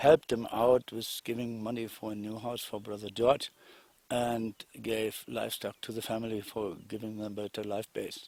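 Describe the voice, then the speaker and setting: A man with a German accent and a medium pitch speaks at a moderate pace in a monotone, flat intonation. The recording is very clean with a silent background, and the sound is dry and close with no echo. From Germany. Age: 60s. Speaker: investor. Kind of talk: testimony. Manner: halting.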